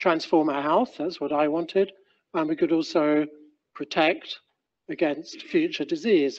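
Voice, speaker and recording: The man's pitch sits high. He keeps a moderate pace against a quiet background. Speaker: presenter. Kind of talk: lecture. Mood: relaxed, lightly humorous.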